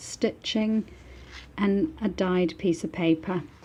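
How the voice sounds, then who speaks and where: A woman's somewhat breathy voice with a dark, mellow tone moves at a very slow pace in a medium pitch with ordinary variation. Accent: British. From northern England, Manchester. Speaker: book artist. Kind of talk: product showcase. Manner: animated.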